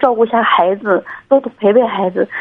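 A woman talks at a moderate pace. Her pitch is fairly high, with ordinary pitch variation. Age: 30s. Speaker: caller, doctor. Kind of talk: call-in advice conversation. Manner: halting, many fillers.

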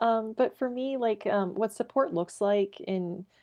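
Speaking at a very slow pace in a Canadian Prairie accent, a woman shows ordinary pitch variation in a dry, close sound with no echo and a quiet background. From Saskatchewan, Canada. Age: 30s. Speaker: egg and grain farmer. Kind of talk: interview. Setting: remote call from home.

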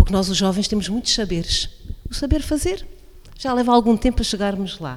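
An unremarkable speaking voice from a woman, fairly high and quick, with lively intonation. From Portugal, Alto Alentejo. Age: 40s. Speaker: coordinator of a social project for older people. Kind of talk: radio interview. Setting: radio broadcast from incubator premises, masks and distancing.

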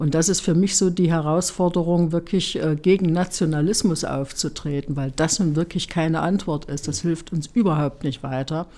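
This woman has a dark, mellow tone and a fairly low pitch, and she speaks with hardly any pauses. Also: ordinary pitch variation, moderate pace. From East Germany. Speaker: politician. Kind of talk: interview. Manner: hesitant with fillers.

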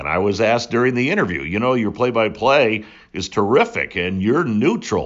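At a moderate pace, a man with a plain, everyday voice and an American accent talks at a medium pitch with lively intonation. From New England (New Hampshire), born upstate New York. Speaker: sports play-by-play announcer. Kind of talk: interview.

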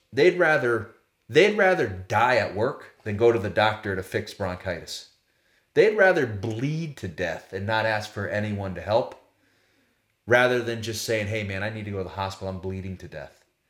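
Pitched fairly low, a man with an ordinary speaking voice talks at a moderate pace, his intonation lively and his loudness swinging widely. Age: 40s. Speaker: former professional baseball player, sales leader. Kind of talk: interview. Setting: in person at guest's home. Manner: casual.

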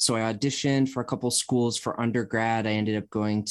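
The background is quiet. Over it, a man talks in an American accent. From US Midwest, Cleveland area. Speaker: jazz drummer and musicologist. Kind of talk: casual chat. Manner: halting, many fillers.

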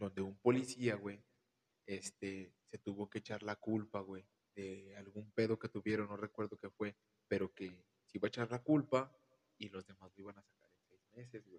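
A man's plain, everyday voice sits fairly low, with ordinary pitch variation. Loudness swings widely in a dry, close sound with no echo. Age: 20s. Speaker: podcast guest, friend of host. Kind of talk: casual chat.

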